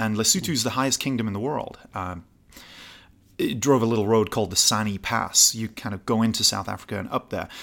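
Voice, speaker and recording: The recording is very clean, with a silent background. A man speaks at a fairly quick pace in a medium pitch with ordinary pitch variation. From northern England, Newcastle. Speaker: gin distiller and travel show host. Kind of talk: casual interview. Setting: trade show.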